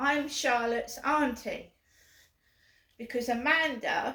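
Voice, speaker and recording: A woman with an English accent speaks at a very slow pace in a high pitch with ordinary pitch variation. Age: 50s. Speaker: vlogger. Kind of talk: casual vlog. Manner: repetitive.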